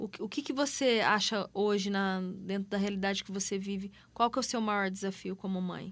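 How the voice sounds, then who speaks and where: A woman with an ordinary speaking voice talks at a medium pitch and a moderate pace, with fairly even intonation. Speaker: radio host. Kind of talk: radio interview. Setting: radio studio. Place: studio.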